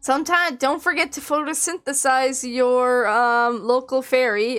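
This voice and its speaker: A woman speaks loudly at a high pitch and a moderate pace. Her pitch varies in an ordinary way, and the recording is very clean with a silent background. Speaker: vtuber streamer. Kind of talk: casual live stream chat. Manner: exclaims a lot.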